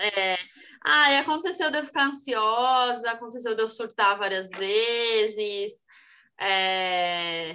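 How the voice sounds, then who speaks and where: Speaking at a very slow pace, a woman uses lively intonation and a fairly high pitch. Her tone is bright and sharp over a quiet background. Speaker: podcast co-host. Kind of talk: casual chat.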